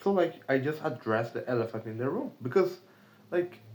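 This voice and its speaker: The speaker has a Brazilian accent. The intonation is lively. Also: man. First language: Portuguese. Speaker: remote sales caller, video diarist. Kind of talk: casual vlog monologue. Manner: hesitant, many fillers.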